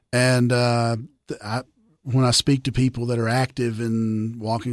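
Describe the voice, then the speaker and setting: Speaking in a Tennessee accent, a man keeps to a moderate pace at a medium pitch. His intonation is monotone and flat. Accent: Southern US, Tennessee. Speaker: attorney and former state representative. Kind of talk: casual interview chat.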